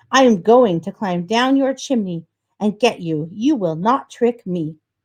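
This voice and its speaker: Putting on a growling character voice, a woman talks at a moderate pace and a medium pitch. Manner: snarling.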